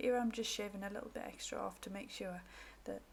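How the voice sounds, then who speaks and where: Somewhat breathy woman, medium pitch, fairly even intonation, fairly quick pace. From northeast England. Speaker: crafter / craft YouTuber. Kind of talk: craft tutorial.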